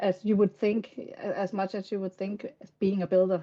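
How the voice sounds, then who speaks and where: With a Danish accent, a woman speaks at a moderate pace. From Denmark. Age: 50s. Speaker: game content creator. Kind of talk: interview. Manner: halting.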